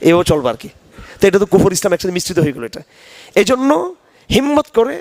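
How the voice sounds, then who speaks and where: With very wide pitch swings, a man talks in a high pitch. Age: 50s. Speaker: Islamic scholar. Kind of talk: religious lecture.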